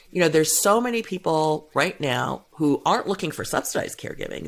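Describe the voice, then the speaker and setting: Speaking fairly quickly with hardly any pauses, a woman talks with an American accent. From US Midwest, suburban Cleveland, Ohio. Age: 60s. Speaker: gender equality and caregiving policy advocate. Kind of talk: podcast interview.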